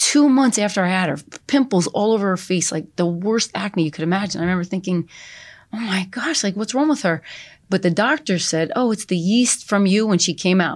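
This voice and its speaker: In an American accent, a woman with a medium pitch uses an ordinary speaking voice, lively intonation and a fairly quick pace on a very clean recording with a silent background. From New Jersey. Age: 50s. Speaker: salon owner and life coach. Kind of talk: interview.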